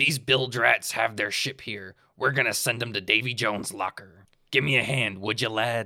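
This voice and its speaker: At a moderate pace, a man does a raspy put-on character voice of medium pitch in a very clean recording with a silent background. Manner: gruff, scheming.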